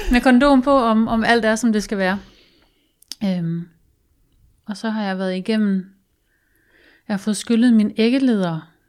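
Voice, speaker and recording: On a very clean recording with a silent background, a woman speaks at a fairly high pitch with ordinary pitch variation. Her pace is fairly slow, with long, frequent pauses. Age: 30s. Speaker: guest sharing personal story. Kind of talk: casual chat. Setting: studio.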